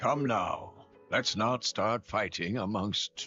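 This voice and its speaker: Very slowly, a man performs a raspy put-on character voice as faint music plays in the background. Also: medium pitch for a man. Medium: video game. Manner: formal, polite.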